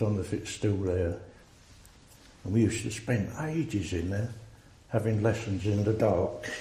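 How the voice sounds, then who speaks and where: With audible room echo, a man speaks at a moderate pace with ordinary pitch variation and long, frequent pauses. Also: fairly low pitch for a man. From England, Essex (Rayleigh). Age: 70s. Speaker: army veteran. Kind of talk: oral history interview.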